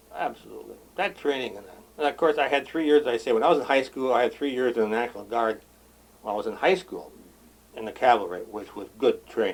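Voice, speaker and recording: In an American accent, the speaker talks at a very fast pace with big swings in loudness. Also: man. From Wisconsin. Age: 70s. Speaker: retired police chief. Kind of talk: oral history interview. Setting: on a boat.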